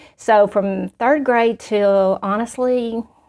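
A woman with a Southern US accent speaks at a fairly high pitch. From Arkansas. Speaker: school principal. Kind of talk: testimony.

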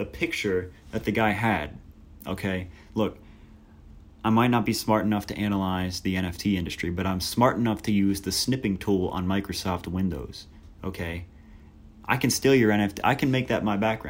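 At a moderate pace, a man talks in a fairly low pitch with ordinary pitch variation and long, frequent pauses. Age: young. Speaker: college student podcast host. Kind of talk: solo casual commentary podcast. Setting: dorm room. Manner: casual, many fillers.

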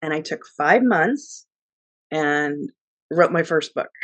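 A woman with an American accent has a very deep, low pitch. She talks fairly slowly in a dry, close sound with no echo. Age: 50s. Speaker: travel author. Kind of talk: interview.

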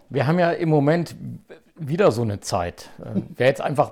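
Using an ordinary speaking voice, a man talks at a moderate pace and a fairly high pitch. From Saxony-Anhalt, eastern Germany (Zeitz). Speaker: podcast host, lawyer and politician. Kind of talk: casual chat.

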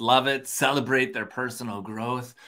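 This man's voice has a bright, sharp tone and medium pitch with ordinary pitch variation, in an Upper Midwest accent. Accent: Upper Midwest American. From Minnesota. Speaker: podcast host. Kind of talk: casual chat. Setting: video call. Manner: animated.

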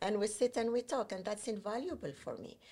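A woman's somewhat breathy voice at medium pitch and moderate pace. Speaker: digital agency founder. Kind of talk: casual interview.

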